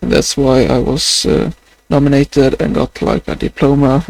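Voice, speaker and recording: A man with a Swedish accent, the sound dry and close with no echo. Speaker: vlogger. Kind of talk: video diary. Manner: halting.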